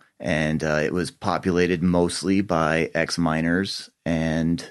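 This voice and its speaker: A man speaks with a very deep, low voice. He has an American accent. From Colorado, Boulder County. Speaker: cannabis grower and dispensary owner. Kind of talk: casual chat.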